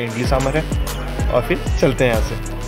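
A man at a moderate pace, clear music in the background. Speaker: family vlogger. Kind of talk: casual vlog chat. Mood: cheerful, playful. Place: cafe. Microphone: phone near.

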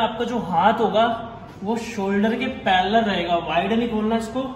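A man speaks at a high pitch in a monotone, flat delivery and at a very slow pace. Audible room echo and light background noise surround him. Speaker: fitness trainer. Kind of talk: tutorial. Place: gym. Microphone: phone near.

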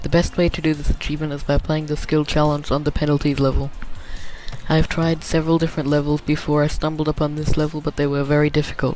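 Music plays in the background while a man speaks at a very fast pace. His fairly high voice has monotone, flat intonation. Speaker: video game guide maker. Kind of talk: game tutorial narration.

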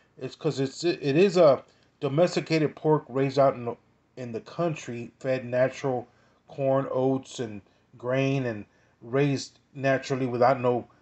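Over a quiet background, a man talks at a moderate pace with fairly even intonation. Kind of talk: tutorial. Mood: relaxed, informative. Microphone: phone near.

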